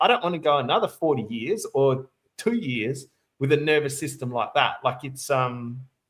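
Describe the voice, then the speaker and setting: A man talks at a moderate pace with fairly high pitch and lively intonation. His voice is somewhat breathy. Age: 40s. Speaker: interviewer and channel host. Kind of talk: casual interview conversation. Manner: hesitant, filler-heavy.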